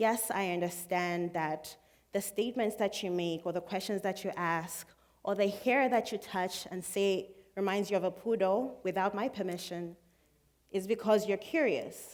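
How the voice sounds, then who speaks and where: Over a silent background in a very clean recording, a woman speaks at a moderate pace with fairly even intonation. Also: medium pitch for a woman. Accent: Zambian. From Zambia. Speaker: student speaker. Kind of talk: public talk.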